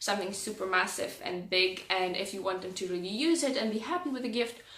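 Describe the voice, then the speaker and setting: A woman speaks at a fairly high pitch with ordinary pitch variation. Audible room echo and noticeable background noise accompany her. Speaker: style vlogger. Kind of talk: casual tutorial-style vlog. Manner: hesitant with many fillers.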